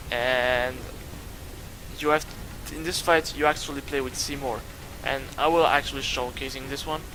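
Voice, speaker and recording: There is noticeable background noise as a man speaks at fairly high pitch. He leaves long, frequent pauses. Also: fairly even intonation, moderate pace. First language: not English. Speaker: gaming youtuber. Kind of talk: gameplay commentary. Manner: halting.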